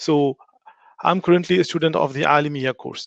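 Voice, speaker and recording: A man with a French accent, fairly high-pitched and fairly quick, with fairly even intonation and a dry, close sound with no echo. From France. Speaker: religious studies teacher. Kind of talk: online lecture. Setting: online live stream. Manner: halting.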